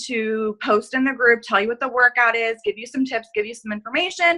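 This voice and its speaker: A woman's high voice with a bright, sharp tone. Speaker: fitness coach. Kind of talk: group video call briefing. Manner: fast; casual, filler-heavy.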